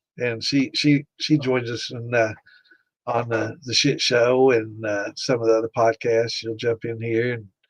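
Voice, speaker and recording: A man with an American accent, medium pitch, monotone, flat intonation and a fairly slow pace. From US, Pike County. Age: 60s. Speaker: home distiller and livestream host. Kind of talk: live-stream Q&A chat. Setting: live stream. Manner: casual, halting with fillers.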